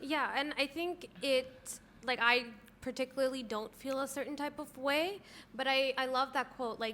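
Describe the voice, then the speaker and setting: In a raised, projected voice, a woman with a high pitch and a bright, sharp tone keeps her intonation fairly even. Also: moderate pace. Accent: Canadian. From Canada. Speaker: podcast co-host. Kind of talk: casual chat.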